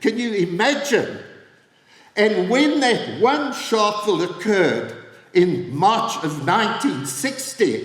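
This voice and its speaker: A man's high voice at a very slow pace, with very wide pitch swings and noticeable background noise. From South Africa. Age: 80s+. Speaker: former government minister and activist. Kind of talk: political speech.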